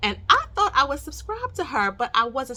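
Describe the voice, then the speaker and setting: Bright and sharp in tone, a woman talks at a fairly quick pace in an animated way with lively intonation. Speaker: investing YouTuber. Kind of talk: casual vlog talk to camera. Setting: home bedroom recording. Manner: loud.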